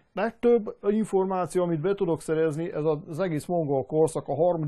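This man talks at a fairly quick pace. His pitch shows ordinary variation. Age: 50s. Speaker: machinist and historical armor maker. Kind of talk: interview. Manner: halting.

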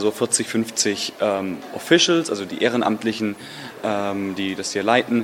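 A man speaks over noticeable background noise. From Germany, Stuttgart. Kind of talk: interview.

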